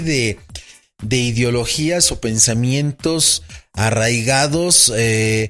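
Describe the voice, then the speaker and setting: With music playing in the background, a man in a Mexico City accent speaks with lively intonation. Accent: Mexico City Spanish (chilango). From Mexico City, Mexico. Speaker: interview guest sharing work migration experience. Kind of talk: casual conversation. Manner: halting, many repetitions and false starts.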